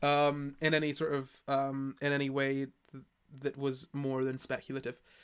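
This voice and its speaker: A man with an American accent talks at a moderate pace and a fairly high pitch. His intonation is monotone and flat. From Scotland. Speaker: streamer. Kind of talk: casual live stream chat. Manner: halting, many restarts.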